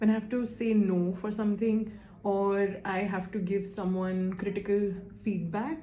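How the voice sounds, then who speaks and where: A woman's somewhat breathy, dark, mellow voice at a medium pitch, fairly slow pace and monotone, flat intonation, with audible room echo. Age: 20s. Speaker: survey respondent, admissions consultant. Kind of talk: interview answers to a questionnaire. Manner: hesitant, with fillers.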